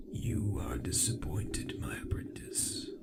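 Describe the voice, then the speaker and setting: Amid loud background noise, a man whispers fairly slowly in a strained, put-on character voice. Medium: read story. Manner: slow, commanding, condescending.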